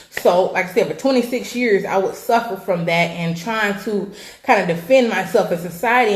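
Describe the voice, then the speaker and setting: An animated woman with an American accent, medium-pitched with ordinary pitch variation, at a moderate pace, with noticeable background noise and audible room echo. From California. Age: 20s. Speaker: weight loss coach and vlogger. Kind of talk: personal testimony vlog.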